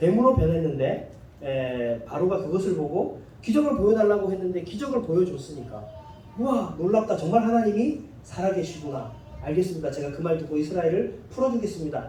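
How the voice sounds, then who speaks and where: In a room with audible echo and noticeable background noise, a man talks at a fairly quick pace in a high pitch, his voice swinging very widely up and down. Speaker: pastor. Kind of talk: sermon.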